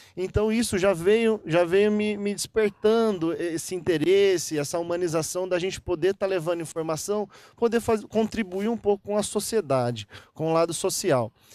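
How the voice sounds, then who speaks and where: A man with a Minas Gerais accent speaks at a moderate pace in a high voice with ordinary pitch variation, the sound dry and close with no echo. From Minas Gerais, Brazil (Guaxupé). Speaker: dentist. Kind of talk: interview. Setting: golf club venue. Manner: clear; halting, with repetitions.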